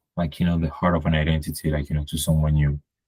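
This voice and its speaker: A man with a slight non-native accent speaks in a very deep, low pitch, with a dry, close sound that has no echo. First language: French. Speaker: podcast guest. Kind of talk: casual conversation. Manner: hesitant, many fillers.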